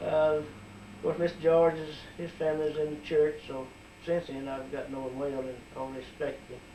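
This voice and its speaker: A man with an Alabama accent at a fairly quick pace, monotone and flat in intonation, with audible room echo and noticeable background noise. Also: fairly high pitch for a man. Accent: Southern US (Alabama). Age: 60s. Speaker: community member. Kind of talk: oral history interview.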